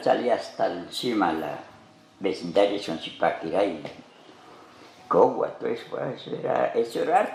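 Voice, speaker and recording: Noticeable background noise and audible room echo surround a man talking at a moderate speed. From Colombia, Pacho, Cundinamarca. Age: 80s+. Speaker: farmer. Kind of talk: interview storytelling.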